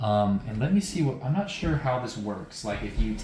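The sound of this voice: Reading in an unforced voice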